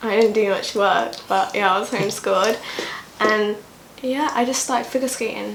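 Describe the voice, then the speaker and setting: A woman in an East Midlands accent talks at a moderate pace, with audible room echo and noticeable background noise. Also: fairly high pitch for a woman. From England, East Midlands (Kettering). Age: 20s. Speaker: digital creator. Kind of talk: casual chat. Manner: energetic.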